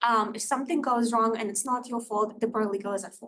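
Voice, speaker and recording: A woman with a Russian accent speaks at a fairly quick pace in a fairly high pitch, her intonation monotone and flat. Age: 20s. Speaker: paralegal. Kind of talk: presentation to student club.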